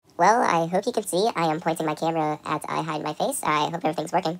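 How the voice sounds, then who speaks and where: A woman puts on a character voice, fairly low in pitch, and rattles along at a very fast pace. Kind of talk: mock radio-protocol roleplay. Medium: machinima.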